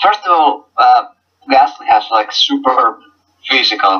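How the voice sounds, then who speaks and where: Speaking at a fairly slow pace, a man talks with a Finnish accent. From Finland. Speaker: gaming league team coach. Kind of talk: casual interview. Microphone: poor audio quality.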